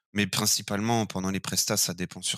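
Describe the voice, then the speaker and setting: A man's fairly low voice with a bright, sharp tone, monotone and flat, in a dry, close recording with no echo. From France, Burgundy (Chassagne area). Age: 20s. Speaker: winery equipment operator. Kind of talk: interview. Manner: hesitant, many fillers.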